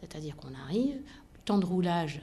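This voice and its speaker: At a moderate pace, a woman speaks with a fairly low pitch, a dark, mellow tone and lively intonation, her somewhat breathy voice carrying audible room echo. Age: 50s. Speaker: aviation company executive. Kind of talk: interview.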